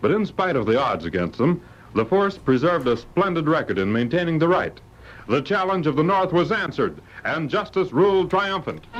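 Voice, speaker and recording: Over noticeable background noise, a man speaks at a fairly quick pace in a high pitch with lively intonation. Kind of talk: old-time radio adventure announcer. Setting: vintage radio broadcast.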